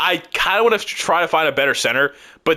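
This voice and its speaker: A man's bright, sharp-toned voice at a fairly quick pace. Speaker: gaming YouTuber. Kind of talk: gameplay commentary. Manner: fast; casual, thinking aloud.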